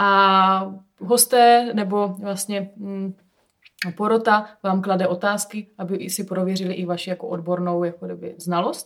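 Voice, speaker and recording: Fairly slow, fairly even speech from a woman at a medium pitch. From South Moravia, Czech Republic (Hustopeče). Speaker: winemaker. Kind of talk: casual chat interview. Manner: hesitant with filler sounds.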